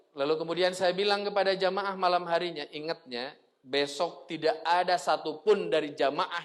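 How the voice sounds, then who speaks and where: A man's high voice comes at a moderate speed, its pitch rising and falling in an ordinary way. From West Java, Tasikmalaya (Sundanese region). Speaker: Islamic preacher. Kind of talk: religious lecture. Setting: mosque.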